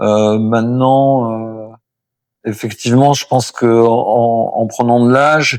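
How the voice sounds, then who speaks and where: Speaking at a very slow pace, a man holds a medium pitch with monotone, flat intonation. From Brittany, France. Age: 60s. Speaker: poet and singer-songwriter. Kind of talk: interview answer.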